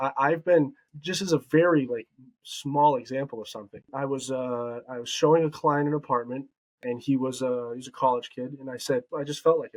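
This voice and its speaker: A man with a plain, everyday voice talks at a fairly quick pace, his pitch medium and his intonation fairly even. The sound is dry and close, with no echo. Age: 20s. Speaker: real estate agent. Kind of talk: interview.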